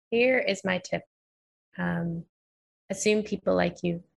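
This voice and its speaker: A woman speaks at a moderate pace in an American accent. Her pitch is fairly low and her voice is somewhat breathy. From New York. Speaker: psychologist and author. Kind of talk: interview.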